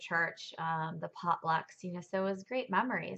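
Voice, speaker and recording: A woman speaks at a moderate pace with fairly even intonation. Her pitch sits fairly low. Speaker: churchgoer sharing her testimony. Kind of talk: testimony. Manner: hesitant, many fillers.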